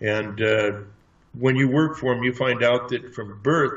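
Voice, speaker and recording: A man's medium-pitched voice sounds somewhat breathy, with ordinary pitch variation. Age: 60s. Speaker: martial arts trainer and alleged space program veteran. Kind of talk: interview testimony. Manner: halting.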